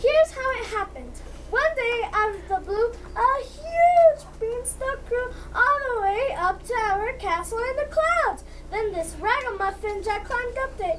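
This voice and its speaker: A put-on character voice, female-sounding and extremely high-pitched, at a moderate pace over clear background noise. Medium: stage play. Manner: indignant.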